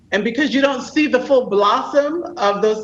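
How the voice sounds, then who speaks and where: Intonation is lively while the speech keeps a moderate tempo. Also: woman. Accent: New York. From New York. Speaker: podcast host and executive coach. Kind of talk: interview.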